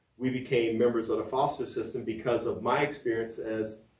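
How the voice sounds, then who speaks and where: Somewhat breathy and in an American accent, a man speaks at a fairly quick pace and medium pitch with monotone, flat intonation, amid audible room echo. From Virginia, US. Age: 60s. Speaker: podcaster and fitness trainer. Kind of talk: personal storytelling podcast. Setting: home studio.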